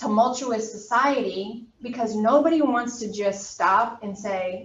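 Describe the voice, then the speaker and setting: A normal speaking voice from a woman, pitched fairly high, its pitch varying in an ordinary way. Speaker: college anatomy instructor. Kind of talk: lecture. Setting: classroom, also streamed on video call.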